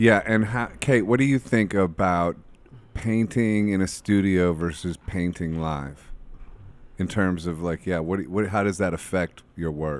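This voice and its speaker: Speaking at a fairly slow pace with an American accent, a man uses a very deep, low pitch and ordinary pitch variation in a dry sound with no echo. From Ohio, US Midwest. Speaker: podcast host and musician; podcast host. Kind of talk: casual chat. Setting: studio. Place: studio. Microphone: studio mic.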